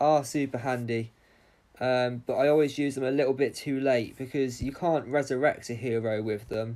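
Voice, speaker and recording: With a British accent, the speaker keeps a moderate pace and fairly even intonation. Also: man. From England. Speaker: gaming streamer. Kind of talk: livestream Q&A. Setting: live stream, wireless. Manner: casual, hesitant with frequent ums.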